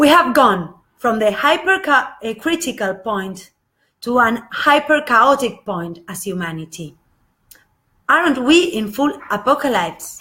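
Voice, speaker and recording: A woman with an Argentine accent speaks fairly slowly with long, frequent pauses, her high, bright, sharp voice swinging very widely in pitch. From Argentina, Buenos Aires. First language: Spanish. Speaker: spiritual channel presenter. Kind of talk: live video talk, partly read from notes. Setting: live Facebook video. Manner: halting, many filler sounds.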